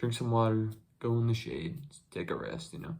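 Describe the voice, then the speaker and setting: The man's voice is somewhat breathy and medium in pitch. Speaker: YouTuber. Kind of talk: casual chat. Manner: halting.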